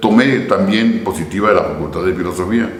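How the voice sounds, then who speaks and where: Over noticeable background noise and audible room echo, a man talks at a moderate pace with a fairly low pitch. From Mexico, Santa Bárbara. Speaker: philosopher, former seminarian. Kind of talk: interview conversation.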